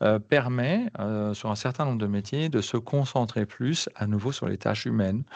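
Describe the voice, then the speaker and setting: Against a quiet background, a man of medium pitch talks at a moderate pace with ordinary pitch variation and hardly any pauses. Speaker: career advisor running a job-search workshop. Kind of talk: online workshop presentation. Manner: hesitant, many fillers.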